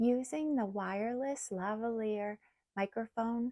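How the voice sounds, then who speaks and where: Soft-spoken and very slow, a woman talks in a dark, mellow tone. The sound is dry and close with no echo, on a very clean recording with a silent background. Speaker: product reviewer. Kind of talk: product review. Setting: outdoors by the ocean.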